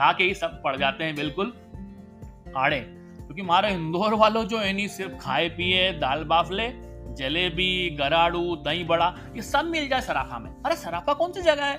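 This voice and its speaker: With music in the background, a man with a Malwa accent speaks in a high pitch and lively intonation. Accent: Indori Malvi dialect. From Indore, central India. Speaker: podcaster, storyteller. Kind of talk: humorous storytelling.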